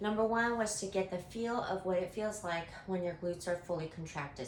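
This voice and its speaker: A woman's medium-pitched voice at a moderate pace with ordinary pitch variation, amid audible room echo and noticeable background noise. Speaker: fitness instructor. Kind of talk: tutorial. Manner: animated.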